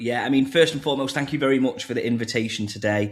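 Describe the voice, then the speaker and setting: A man rattles along at a very fast pace in a strong northern English accent. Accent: thick northern English. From northern England. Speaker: crypto marketing executive. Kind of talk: podcast interview.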